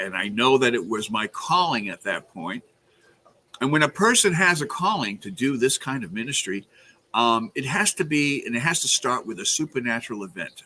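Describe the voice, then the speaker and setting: A man with a slight New York accent talks at medium pitch and a moderate pace. His tone is bright and sharp, with very wide pitch swings. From Brooklyn, New York. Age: 70s. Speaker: exorcist priest. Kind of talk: interview. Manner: hesitant, many fillers.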